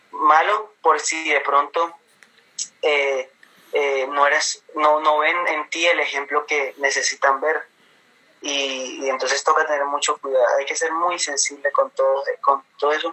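A man's fairly high-pitched voice, monotone and flat in intonation, at a fairly slow pace. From Colombia, Caribbean coast (Cartagena), mother from Bogotá region. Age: 20s. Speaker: pastor's son and church youth leader. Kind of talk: casual interview.

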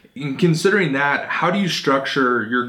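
There is audible room echo and noticeable background noise as a man speaks with an American accent. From Phoenix, Arizona. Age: 20s. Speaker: podcast host interviewing entrepreneurs. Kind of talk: interview.

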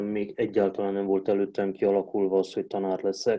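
A man's fairly low voice, dark and mellow in tone, at a moderate pace. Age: 40s. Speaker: Romanian language teacher. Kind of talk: casual interview.

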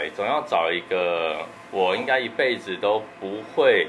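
Fairly low male pitch with audible room echo and noticeable background noise. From Taiwan, Tianmu in Taipei. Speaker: dessert shop owner and pastry chef. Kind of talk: interview.

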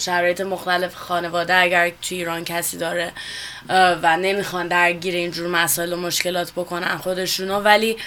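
Against noticeable background noise, a woman with a fairly low pitch talks at a moderate pace in a monotone, flat intonation. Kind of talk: radio interview. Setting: studio.

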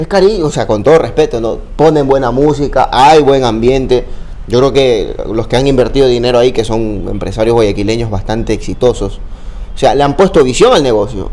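A man talks with ordinary pitch variation, and audible room echo surrounds his voice. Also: medium pitch for a man, fairly quick pace. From Ecuador, Babahoyo (Los Ríos). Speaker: sports journalist and content creator. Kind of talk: casual interview chat.

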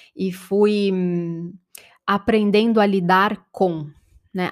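Her pitch varies in an ordinary way. The woman talks at a medium pitch. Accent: Brazilian. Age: 30s. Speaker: podcast host and life-transition coach. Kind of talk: reflective solo podcast monologue.

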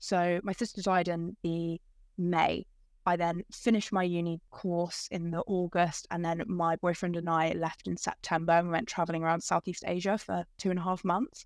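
A woman's fairly low, monotone voice with flat intonation at a moderate pace, in a dry, close sound with no echo. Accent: English. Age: 20s. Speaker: podcast guest, bereaved young adult. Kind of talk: casual chat. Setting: video call.

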